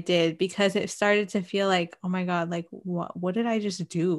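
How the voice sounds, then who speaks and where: A woman with an unremarkable speaking voice talks at a moderate pace and a medium pitch against a quiet background. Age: 20s. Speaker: podcast co-host. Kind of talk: casual chat. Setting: livestream recording.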